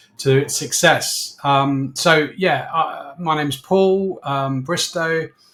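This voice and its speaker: A man talks in a southern English accent. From southern England (Slough). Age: 60s. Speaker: business owner. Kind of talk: interview. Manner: hesitant, many fillers.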